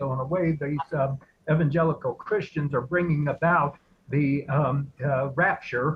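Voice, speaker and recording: A fairly slow, somewhat breathy delivery with fairly even intonation. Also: man. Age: 70s. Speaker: watch party participant. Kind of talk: casual chat. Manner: halting, many fillers.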